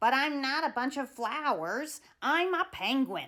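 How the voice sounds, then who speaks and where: A woman's put-on character voice, high-pitched and fairly slow, on a very clean recording with a silent background. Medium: read story. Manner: loud, boisterous.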